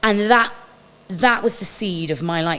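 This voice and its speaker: Medium pitch and ordinary pitch variation in an unremarkable speaking voice from a woman. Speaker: stage and screen actress. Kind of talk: casual chat.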